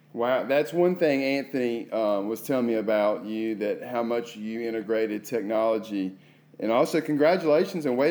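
A man with an unremarkable speaking voice talks at a moderate pace and medium pitch, his pitch varying in an ordinary way. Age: 30s. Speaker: podcast host and assistant principal. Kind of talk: interview podcast.

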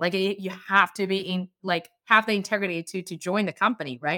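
A woman's bright, sharp voice at medium pitch, with a Chinese accent and a fairly quick pace. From China. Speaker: startup founder. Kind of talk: interview, casual conversation. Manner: hesitant, filler words.

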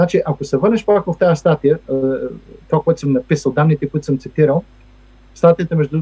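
The man has a fairly high voice. It sounds somewhat breathy. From Bulgaria, Stara Zagora. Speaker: economist and federal employee. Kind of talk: interview. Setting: remote recording. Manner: halting with many fillers.

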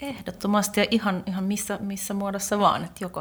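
A woman talks fairly quickly, her voice somewhat breathy. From Finland. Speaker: lawyer. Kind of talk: casual chat.

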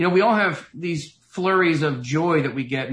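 A somewhat breathy man with a Tennessee accent speaks at a moderate pace with ordinary pitch variation. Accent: Southern US (Tennessee). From US South, Knoxville, Tennessee. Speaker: author and motivational speaker. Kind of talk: interview.

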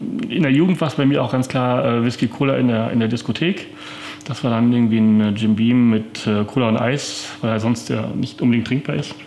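Male speech at medium pitch and moderate speed, ordinary pitch variation, noticeable background noise behind it. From Paderborn, Westphalia, Germany. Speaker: whisky merchant and distiller. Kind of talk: interview. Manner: hesitant with frequent fillers.

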